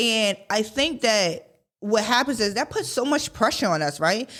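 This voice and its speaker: This woman's fairly high voice has a bright, sharp tone. Her intonation is lively. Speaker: podcast host. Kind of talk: motivational talk. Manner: fast; casual, conversational.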